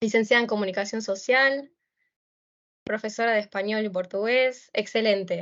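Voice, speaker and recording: A woman talks at a fairly high pitch and a moderate pace, with fairly even intonation. She speaks with an Argentine accent. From Argentina. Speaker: lecturer, doctoral researcher. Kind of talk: lecture. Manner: hesitant, many fillers.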